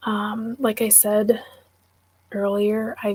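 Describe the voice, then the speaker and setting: A soft-spoken woman talks with an American accent. Her pitch is fairly high and her intonation fairly even. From Wisconsin. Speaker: book YouTuber. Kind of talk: livestream chat.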